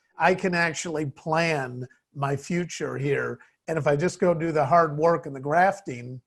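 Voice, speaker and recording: A man with an American accent and an unremarkable speaking voice, fairly even intonation and a fairly slow pace. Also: fairly high pitch for a man. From US Midwest, Chicago. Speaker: business CEO. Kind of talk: interview.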